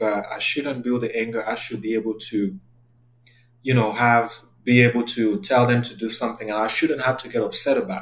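A man with a French accent speaks at a moderate pace in a medium pitch, his intonation fairly even. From Cameroon. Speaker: therapist. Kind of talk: interview.

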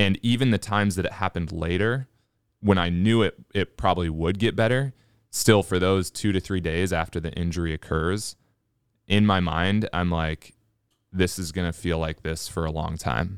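A man's very deep, low voice with ordinary pitch variation, in a dry, close sound with no echo. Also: moderate pace, very clean recording, silent background. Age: 30s. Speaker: personal trainer and podcast co-host. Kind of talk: casual chat.

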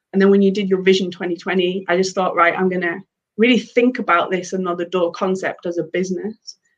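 Medium in pitch, a woman's voice moves at a fairly quick pace with monotone, flat intonation. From northern England, Cumbria. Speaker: author and founder of a redundancy support community. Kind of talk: casual interview. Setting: live webinar.

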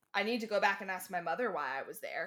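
Woman with an ordinary speaking voice, lively intonation and a moderate pace. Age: 20s. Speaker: podcast guest. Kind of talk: casual chat.

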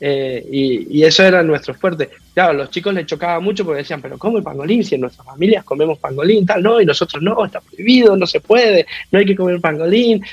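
In an Argentine accent, a man talks very fast in a high voice with lively intonation. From Argentina, Mendoza. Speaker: rugby coach. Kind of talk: interview.

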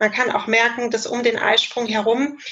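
At a moderate pace, a woman delivers her words in a monotone, flat intonation with a fairly high pitch. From Germany, Cologne. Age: 30s. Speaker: family planning counsellor and trainee midwife. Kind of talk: expert interview explanation. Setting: video call.

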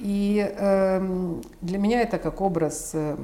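Her voice carries a dark, mellow tone. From Ukraine, Kyiv. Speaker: art collector and patron. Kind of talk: interview. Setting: at her home.

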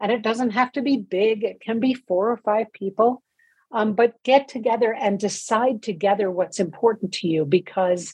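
This woman's voice is somewhat breathy, with lively intonation. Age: 60s. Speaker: nonprofit co-founder and author. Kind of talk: interview.

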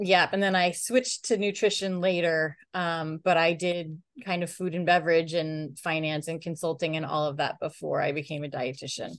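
An ordinary speaking voice with an American accent, fairly even intonation and hardly any pauses. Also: woman, fairly low pitch for a woman, moderate pace. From upstate New York. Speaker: chef and dietitian. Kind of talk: interview answers.

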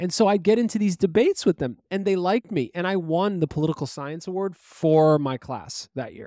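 A man's high-pitched voice, dark and mellow in tone, with lively intonation and a New York accent, dry and close with no echo on a very clean recording with a silent background. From Brooklyn, New York. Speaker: podcast co-host. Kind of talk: casual chat.

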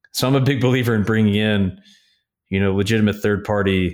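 A man with an American accent, fairly low-pitched, an unremarkable speaking voice, at a moderate pace in a very clean recording with a silent background. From upstate New York. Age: 30s. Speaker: investment firm founder. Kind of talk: interview.

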